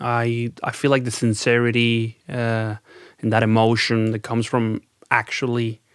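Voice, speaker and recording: A man's medium-pitched, monotone voice in a Spanish accent, dry and close with no echo. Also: moderate pace. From Venezuela. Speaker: rock band lead singer. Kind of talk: podcast interview. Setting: studio.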